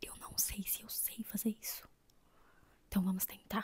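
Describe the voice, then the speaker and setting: A woman whispers at a moderate pace in a calm tone. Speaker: book reviewer. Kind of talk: soft-spoken book review. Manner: soft-spoken, calm.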